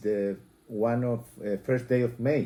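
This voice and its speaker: A man with a Spanish accent speaks at a fairly slow pace in a dark, mellow tone with fairly even intonation. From Chile. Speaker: interviewee. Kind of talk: interview. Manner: halting.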